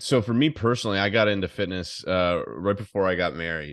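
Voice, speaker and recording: A man with an American accent speaks at a moderate pace. His pitch varies in an ordinary way, and the background is quiet. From United States. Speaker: fitness coach, guest. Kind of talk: casual interview chat.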